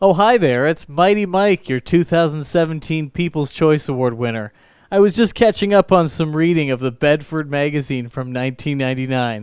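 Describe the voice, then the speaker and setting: In a Canadian accent, a man with a plain, everyday voice talks at a fairly quick pace with hardly any pauses, lively intonation and a fairly high pitch on a very clean recording with a silent background. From Canada, Nova Scotia. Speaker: strongman street performer. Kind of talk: comedic stage performance.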